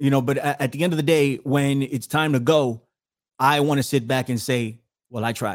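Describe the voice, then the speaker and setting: Fairly high male speech with fairly even intonation. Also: moderate pace, very clean recording, silent background. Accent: New York. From New York City, the Bronx. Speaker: podcast host and researcher. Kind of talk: talk show interview.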